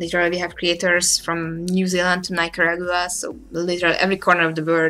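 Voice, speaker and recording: A woman with a Hungarian accent races along at a very fast pace with hardly any pauses, her fairly low voice monotone and flat, while music plays in the background. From Hungary. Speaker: manga artist. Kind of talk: live stream drawing commentary. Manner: casual, hesitant.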